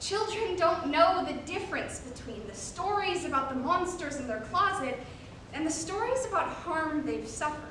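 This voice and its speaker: A woman speaks at an extremely high pitch with lively intonation and big swings in loudness, with noticeable background noise behind her. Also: moderate pace. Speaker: college forensics team member. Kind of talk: reader's theater performance.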